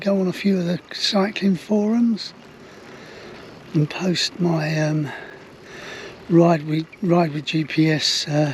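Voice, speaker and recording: A high-pitched man with an English accent and ordinary pitch variation, against noticeable background noise. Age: 70s. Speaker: touring cyclist vlogger. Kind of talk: casual vlog narration. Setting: outdoors on a trike.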